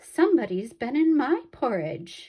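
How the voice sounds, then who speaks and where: A raspy, put-on character voice, female-sounding and high-pitched, with very wide pitch swings at a moderate pace. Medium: read story. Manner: prim.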